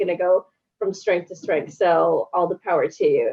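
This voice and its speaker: A woman speaks with a strong Canadian accent at medium pitch. Her pace is moderate and her intonation fairly even. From Canada, Toronto (Scarborough). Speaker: journalist. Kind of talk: casual interview chat.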